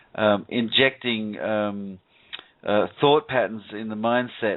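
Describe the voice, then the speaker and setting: With an Australian accent, a man talks with fairly even intonation. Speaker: radio show host. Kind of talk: call-in radio talk. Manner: halting, many fillers and repeats.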